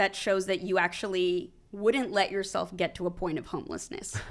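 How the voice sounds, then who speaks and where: A woman talks at a moderate pace. Her recording is very clean, with a silent background. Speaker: comedian, former lawyer. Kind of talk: podcast interview. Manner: held back, quieter than usual.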